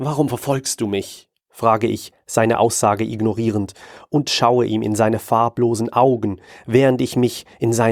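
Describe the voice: Quiet background, fairly even intonation, plain reading aloud.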